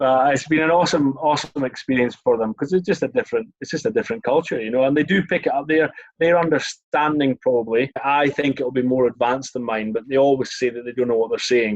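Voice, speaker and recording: Speaking very fast with hardly any pauses, a man with a Scottish accent uses a fairly high pitch. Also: ordinary pitch variation. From Scotland, Scottish Borders (Melrose). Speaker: former rugby sevens player. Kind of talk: casual chat.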